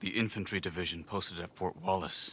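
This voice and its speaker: A man uses a put-on character voice with a very deep, low pitch. He moves at a fairly quick pace with fairly even intonation. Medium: video game.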